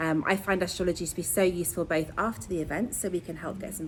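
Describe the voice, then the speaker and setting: A woman with an English accent, fairly low-pitched and enthusiastic, at a fairly quick pace. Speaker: astrologer and sound healer. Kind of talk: astrology talk to online audience. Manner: fast.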